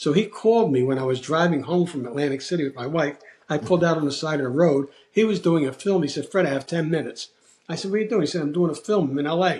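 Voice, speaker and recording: A man with a fairly high voice talks very fast, his pitch shifting by an ordinary amount. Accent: Philadelphia. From US Northeast, South Philadelphia. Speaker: actor. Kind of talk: casual chat.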